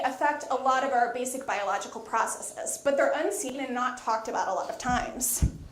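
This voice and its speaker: A woman's loud, high-pitched voice with lively intonation at a fairly quick pace, music in the background. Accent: American. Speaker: microbial ecologist. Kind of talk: lecture.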